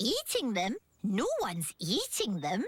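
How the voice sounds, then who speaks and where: A female-sounding cartoonish character voice speaks fairly slowly at a fairly high pitch. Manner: polite, hesitant.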